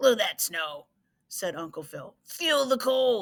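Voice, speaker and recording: Putting on a character voice, a woman speaks at a fairly slow pace with a high, raspy pitch. Her pitch makes very wide swings. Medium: read story. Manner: grumbling.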